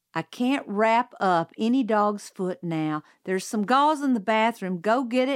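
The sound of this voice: Lively intonation in an unforced reading voice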